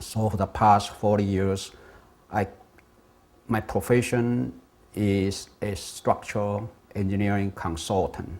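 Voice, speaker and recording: A man with a fairly low pitch speaks in a Taiwanese accent at a very slow pace. He leaves long, frequent pauses and keeps a fairly even intonation. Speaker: structural engineer and independence activist. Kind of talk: talk on political history.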